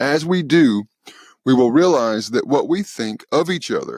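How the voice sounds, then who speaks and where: Recorded very cleanly against a silent background, with a dry, close sound and no echo, a man speaks with a Southern US accent. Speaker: podcast host. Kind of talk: spiritual talk podcast.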